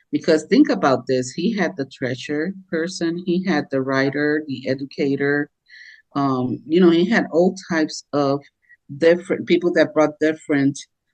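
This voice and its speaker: The speaker talks at a moderate pace in a Puerto Rican accent. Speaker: podcast co-host, business coach. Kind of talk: casual podcast discussion. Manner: many filler words and hesitations.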